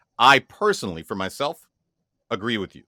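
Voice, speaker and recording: On a very clean recording with a silent background and a dry, close sound with no echo, a man speaks in a bright, sharp tone. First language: French and Haitian Creole. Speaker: podcast co-host. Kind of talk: casual chat. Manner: halting, many restarts and repetitions.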